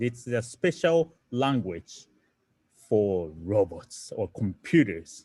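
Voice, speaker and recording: In a Japanese accent, a man with a medium pitch swings very widely in pitch. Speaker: coding teacher. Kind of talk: online lecture. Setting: online livestream. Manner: halting.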